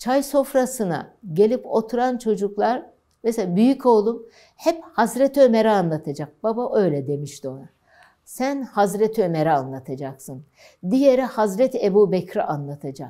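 Against a quiet background, a woman talks at a moderate pace with a dark, mellow tone. Her fairly high pitch swings very widely. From Elazığ, eastern Turkey; Turkey. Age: 70s. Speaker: oral history interviewee; interviewee. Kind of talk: life story interview. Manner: halting. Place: studio. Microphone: lapel.

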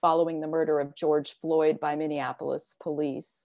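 Against a quiet background, a woman with an American accent speaks at a moderate pace in a fairly low pitch, her tone dark and mellow, with a dry sound and no echo. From US (Virginia, near Washington DC). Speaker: poet. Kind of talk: spoken word poetry reading. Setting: video call. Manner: earnest, solemn. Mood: earnest, reflective. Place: home room. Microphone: earbuds.

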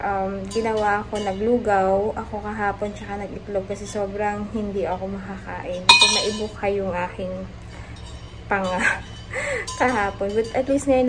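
Music plays in the background as a woman speaks at a fairly slow pace with fairly even intonation. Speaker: vlogger. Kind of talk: casual vlog chat. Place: home room. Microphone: phone near.

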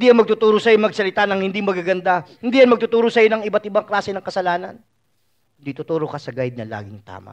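The speaker talks very fast in an animated tone, with ordinary pitch variation and big swings in loudness. The background is quiet. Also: man, high pitch for a man. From Philippines. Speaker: preacher. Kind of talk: sermon. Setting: church. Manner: animated, conversational preaching with frequent 'no?' tag questions. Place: hall.

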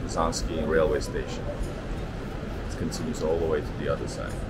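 Music runs behind a man as he talks. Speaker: travel vlogger. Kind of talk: casual vlog chat. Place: station. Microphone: phone near.

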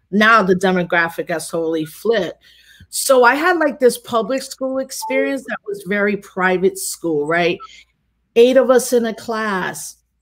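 Speaking with a New York accent, a woman uses a fairly high pitch and lively intonation at a moderate pace. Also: quiet background. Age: 40s. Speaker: activist and scholar; guest. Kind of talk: casual conversation. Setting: video call. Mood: reflective, conversational. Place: home room.

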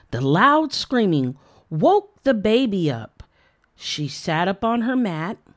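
The background stays quiet as someone reads in an unforced voice.

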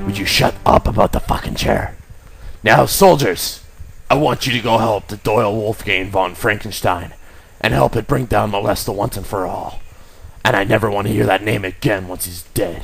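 Over clear background noise, a man with a gruff, fairly low voice talks at a moderate pace. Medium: audio drama. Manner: gruff, impatient, swearing.

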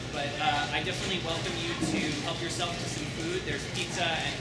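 Heard through loud background noise and audible room echo, a man talks at a very fast pace. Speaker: event moderator. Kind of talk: event announcements. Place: hall. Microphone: camera far.

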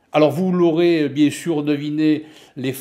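At a very slow pace, a man speaks in a fairly high pitch with a dark, mellow tone. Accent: southern French. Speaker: office software and finance tutor; finance tutor. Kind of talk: self-introduction. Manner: hesitant, many fillers. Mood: friendly, warm. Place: home room. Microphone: webcam.

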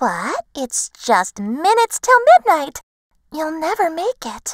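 Using a put-on character voice, a woman speaks fairly slowly at an extremely high pitch, with very wide pitch swings and big swings in loudness, in a dry, close sound with no echo. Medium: read story.

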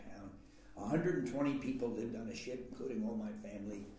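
The speech moves at a moderate pace. There is light background noise and audible room echo. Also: man. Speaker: interviewee. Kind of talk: interview answer. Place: meeting room.

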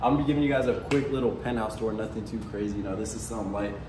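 A man talks at a very fast pace with fairly even intonation. Noticeable background noise runs under his voice. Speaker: vlogger. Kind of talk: casual vlog chat. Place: home room. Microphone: camera far.

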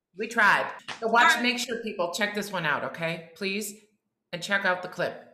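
A woman speaks at a medium pitch and moderate pace in an animated tone. Audible room echo and light background noise are present. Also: ordinary pitch variation. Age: 50s. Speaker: podcast co-host. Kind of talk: casual chat. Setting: video call. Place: home room.

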